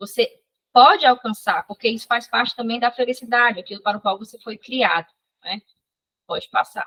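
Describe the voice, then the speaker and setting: With a high pitch and a bright, sharp tone, a woman talks at a fairly quick pace with ordinary pitch variation and big swings in loudness. She takes long, frequent pauses, and the sound is dry and close with no echo. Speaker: psychology instructor. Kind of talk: online lecture. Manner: fast.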